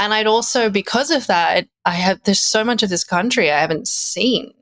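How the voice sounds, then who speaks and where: Speaking at a moderate pace, a woman with an Australian accent has a fairly high pitch and lively intonation. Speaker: musician. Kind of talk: casual chat.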